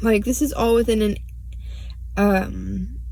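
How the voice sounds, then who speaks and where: Audible room echo fills the space. The voice belongs to a woman. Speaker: true crime vlogger. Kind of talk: casual monologue. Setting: in a car. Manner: halting, stuttering.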